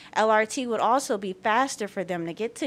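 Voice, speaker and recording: Here is a woman with an American accent and an unremarkable speaking voice. Her pace is fairly quick, and her pitch varies in an ordinary way. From US South, southwest Atlanta. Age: 20s. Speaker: public commenter, small business owner. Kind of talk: public comment at board meeting. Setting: public board meeting.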